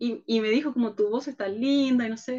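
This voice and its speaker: A woman speaks in a dark, mellow tone. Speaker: leadership workshop speaker. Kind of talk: video conference conversation. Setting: video call.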